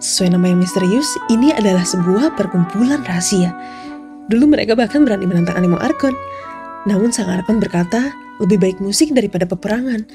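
Music runs in the background while a woman speaks at a medium pitch. Her pace is very fast and her intonation lively. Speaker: fan dub voice actor. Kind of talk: story narration. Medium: dub.

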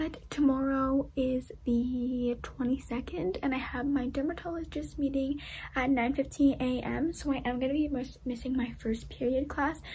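A woman's raspy whisper in a put-on character voice at a moderate pace, over clear background noise. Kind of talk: casual vlog chat. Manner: whispering.

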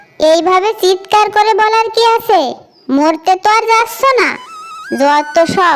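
A woman uses a cartoonish character voice at an extremely high pitch and a moderate pace. Faint music plays in the background. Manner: scolding, sharp.

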